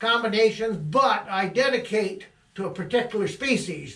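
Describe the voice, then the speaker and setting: In a room with audible echo, a man with an Upper Midwest accent projects a raised, high-pitched voice at a fairly slow pace with lively intonation. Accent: Upper Midwest American. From Michigan, Midland County. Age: 70s. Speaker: trapper. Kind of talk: casual monologue. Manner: halting.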